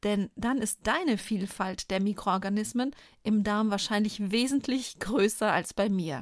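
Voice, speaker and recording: A woman's ordinary speaking voice at medium pitch, fairly slow, with very even loudness and ordinary pitch variation, on a very clean recording with a silent background. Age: 40s. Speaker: pharmacist and podcast host. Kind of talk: scripted narration.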